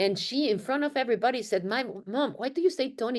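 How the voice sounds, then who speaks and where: Very fast speech in a strong Mexican accent. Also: woman. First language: Spanish. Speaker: marketing and research executive. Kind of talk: panel webinar discussion. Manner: animated.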